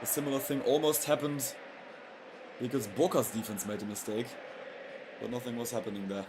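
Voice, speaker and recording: A man's medium-pitched voice with ordinary pitch variation, long and frequent pauses, and noticeable background noise. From Europe. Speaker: football streamer. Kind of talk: live match commentary. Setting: livestream. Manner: lowered volume, not shouting goals; halting, with fillers and restarts.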